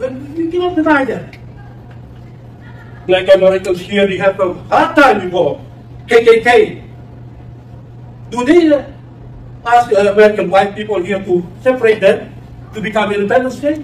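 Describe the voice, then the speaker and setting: Amid noticeable background noise, a man with a high pitch and lively intonation leaves long, frequent pauses. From West Papua. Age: 70s. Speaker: former independence movement official. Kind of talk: public debate remarks. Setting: university campus audience. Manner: emphatic; halting.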